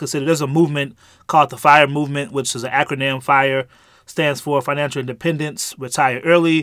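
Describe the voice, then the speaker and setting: A man with an American accent has a plain, everyday voice at a fairly high pitch. He talks at a fairly quick pace with fairly even intonation. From St. Louis, Missouri. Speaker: podcast co-host. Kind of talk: casual chat.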